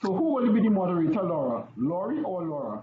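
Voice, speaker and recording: Audible room echo carries a man's high voice as he talks at a fairly quick pace with very wide pitch swings. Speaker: officiating instructor. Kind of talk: lecture. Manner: fast.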